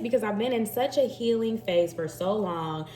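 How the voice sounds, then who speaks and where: The speaker has an animated tone and a slight Southern US accent, with noticeable background noise. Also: woman. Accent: slight Southern twang. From Texas, Dallas. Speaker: tarot reader. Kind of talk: intuitive tarot reading, casual chat. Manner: chatty, animated.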